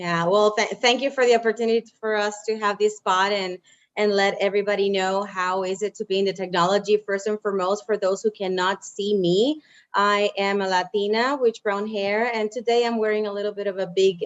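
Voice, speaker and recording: A woman speaks with a Spanish accent at a medium pitch. Her pace is moderate and her intonation fairly even. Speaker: engineering program manager. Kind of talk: panel discussion. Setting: video call.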